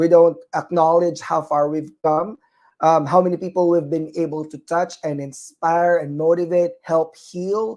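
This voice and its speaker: Fairly slow speech in a Filipino accent. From Philippines. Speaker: nurse and talk show host. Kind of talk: live online talk show. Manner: hesitant, many fillers.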